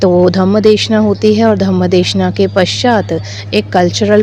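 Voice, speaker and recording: Music plays in the background. A woman speaks in a calm tone. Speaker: Buddhist nun; Abhidhamma expert. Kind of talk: interview answer. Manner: calm, fluent.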